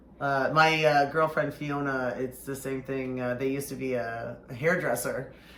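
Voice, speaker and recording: A man's fairly high-pitched voice at a moderate pace, hardly any pauses, fairly even intonation, and audible room echo. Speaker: drag performer hosting makeup show. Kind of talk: casual chat.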